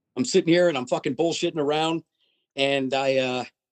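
With a dry, close sound and no echo, a man talks at a medium pitch and a fairly quick pace. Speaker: death metal drummer. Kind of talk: casual interview.

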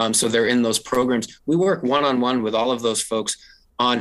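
The background is quiet as a man speaks. His pace is moderate and his intonation fairly even. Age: 40s. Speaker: state agency official. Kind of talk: interview. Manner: halting.

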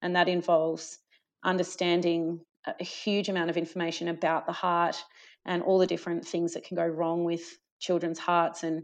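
A moderate pace with an Australian accent against a quiet background. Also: woman. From Australia, rural Victoria (Gippsland). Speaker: paediatric cardiologist. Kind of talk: interview.

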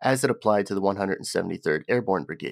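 A man with a plain, everyday voice, fairly quick, with ordinary pitch variation, dry, close sound with no echo, and a very clean recording with a silent background. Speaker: podcast host. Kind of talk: history documentary narration, read from a script. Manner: formal, measured, even-paced; steady, informative, serious in tone.

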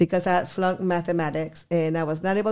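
The speaker has a Spanish accent and a fairly quick pace. The recording is very clean, with a silent background. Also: woman. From Guadalajara, Mexico; teen years in Texas border town. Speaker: restaurant owner. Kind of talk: interview.

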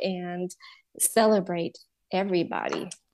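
A woman with a Spanish accent, dark and mellow in tone, at a fairly slow pace. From Honduras. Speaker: counselor and bilingual education business owner. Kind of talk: interview.

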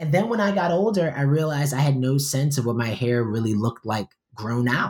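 An unremarkable speaking voice from a man with an American accent, medium in pitch and fairly quick in pace. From New York. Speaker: poet and professor. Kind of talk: interview.

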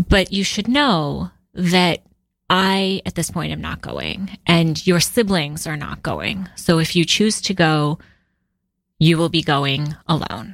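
Very slowly, a woman with a fairly low pitch speaks with vocal fry on a very clean recording with a silent background. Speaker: digital nomad and marketing consultant. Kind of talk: interview conversation.

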